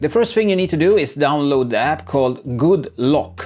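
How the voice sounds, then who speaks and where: With a non-native accent, a man with a fairly high pitch talks at a fairly quick pace. His intonation is lively, and music plays in the background. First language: not English. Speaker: tech youtuber. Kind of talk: tutorial. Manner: unscripted, casual. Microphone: poor camera mic at start.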